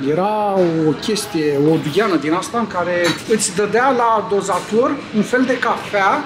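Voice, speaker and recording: Amid noticeable background noise and audible room echo, a man with a high voice speaks using lively intonation. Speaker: vlogger. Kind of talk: casual vlog chat. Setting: shopping centre.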